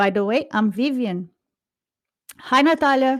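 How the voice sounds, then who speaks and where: Lively intonation and a Brazilian accent come through at a moderate pace on a very clean recording with a silent background. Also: woman. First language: Portuguese. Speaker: podcast co-host. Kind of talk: casual chat.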